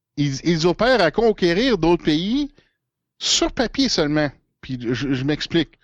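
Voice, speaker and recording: Speaking at a very slow pace in a Quebec accent, the voice makes very wide pitch swings against a quiet background, with a dry, close sound and no echo. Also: man, high pitch for a man. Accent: Québécois French. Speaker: political commentator. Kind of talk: casual chat. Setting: at home.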